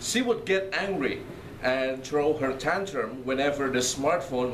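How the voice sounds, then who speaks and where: Noticeable background noise and audible room echo fill the recording. A man talks at a fairly slow pace with ordinary pitch variation. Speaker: priest. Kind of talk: lecture.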